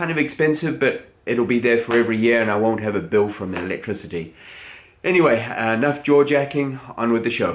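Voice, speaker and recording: Speaking at a moderate pace with ordinary pitch variation, a man is heard over light background noise. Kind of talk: casual vlog chat. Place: garage.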